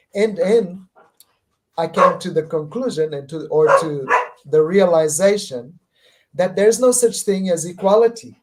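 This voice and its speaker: Speaking at a fairly slow pace with long, frequent pauses, a man uses a high pitch and ordinary pitch variation. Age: 50s. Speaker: spiritual speaker. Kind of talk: podcast interview.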